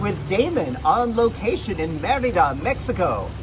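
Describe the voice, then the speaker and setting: A man is speaking. Music plays in the background. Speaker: interview host. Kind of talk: interview host questions.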